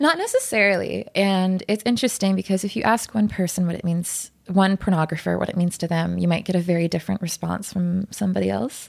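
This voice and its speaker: A woman with a plain, everyday voice talks at a fairly quick pace with hardly any pauses and ordinary pitch variation. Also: medium pitch for a woman. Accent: Canadian. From Ottawa, Canada. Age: 20s. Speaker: escort and art event organizer. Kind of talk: casual interview.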